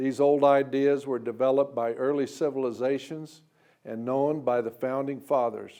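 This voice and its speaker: Against a quiet background, a man with an American accent and a dark, mellow tone speaks at a moderate pace. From US Midwest, western Kansas. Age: 70s. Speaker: lawyer and presidential candidate. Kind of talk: political campaign speech. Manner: formal.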